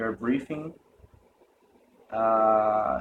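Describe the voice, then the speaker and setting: A man with a Portuguese accent at a very slow pace. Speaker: meditation retreat participant. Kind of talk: testimony. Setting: self-recorded video. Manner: halting.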